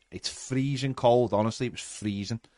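A man with a Liverpool accent talks in an animated tone at medium pitch and a fairly quick pace. The sound is dry and close with no echo. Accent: Scouse. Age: 40s. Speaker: fan podcast host. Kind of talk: casual chat. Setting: live stream.

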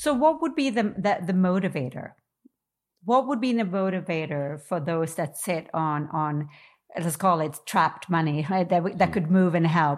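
Using an ordinary speaking voice, a woman with a fairly low pitch talks at a moderate pace with lively intonation. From New York. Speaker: podcast host and coach. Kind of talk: interview. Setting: video call.

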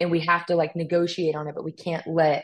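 A woman with an American accent, very deep and low in pitch, at a moderate pace. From US West Coast, California. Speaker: firearms instructor and model. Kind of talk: casual interview chat.

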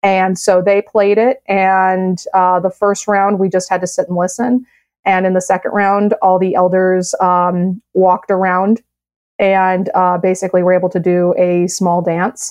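A woman with an American accent speaks at a moderate pace and medium pitch. Her intonation is monotone and flat. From US Midwest, south side of Chicago. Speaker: science writer and STEM program director. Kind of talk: podcast interview.

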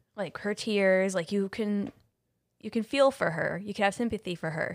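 A woman speaks in a dry, close sound with no echo. The recording is very clean, with a silent background. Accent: American. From Ohio. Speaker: podcast co-host. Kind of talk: casual chat.

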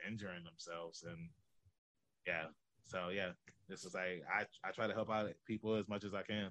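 A man with an American accent speaks at a moderate pace in a very deep, low pitch, his bright, sharp tone delivered in a flat monotone. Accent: Southern, sounds country to outsiders. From Norfolk, Virginia. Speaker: professional wrestler and podcast host. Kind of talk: casual interview chat.

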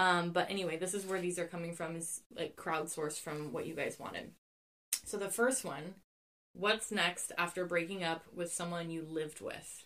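A woman's fairly low voice at a moderate pace, fairly even in intonation, a plain, everyday voice. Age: 30s. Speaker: podcast host. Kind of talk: casual chat. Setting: recorded in a walk-in closet.

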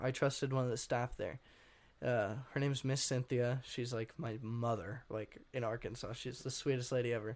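In an unremarkable speaking voice, a man with an American accent speaks at a medium pitch and moderate pace, his intonation fairly even. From Washington state, US. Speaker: musician. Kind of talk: interview.

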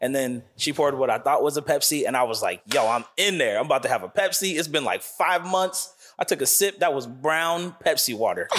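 This man has an ordinary speaking voice and an American accent, pitched fairly high with ordinary pitch variation. He talks at a fairly quick pace with hardly any pauses and very even loudness. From Hillsboro, Oregon. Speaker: podcast guest. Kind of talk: casual chat.

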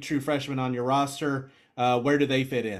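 The recording is very clean with a silent background. A man speaks at a moderate pace in a fairly high pitch, with monotone, flat intonation. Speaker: podcast co-host. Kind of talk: casual chat.

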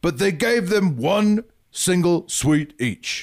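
Putting on a character voice, a man speaks very slowly in a Scottish accent at a high pitch.

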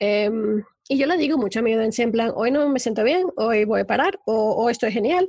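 A woman talks at a fairly quick pace and fairly high pitch, with lively intonation and very even loudness. She has an ordinary speaking voice. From Spain. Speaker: life coach and podcaster. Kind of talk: interview.

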